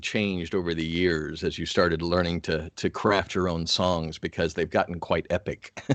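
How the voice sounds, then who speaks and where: A man with an American accent and a very deep, low pitch speaks at a fairly slow pace over a quiet background. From US, Atlanta. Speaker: radio host. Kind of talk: interview. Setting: video call.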